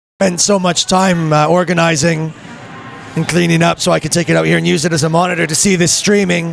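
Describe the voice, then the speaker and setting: With music in the background, a man talks at a fairly quick pace in a high, monotone, flat voice. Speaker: sports commentator. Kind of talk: live commentary. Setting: live stream from a rink.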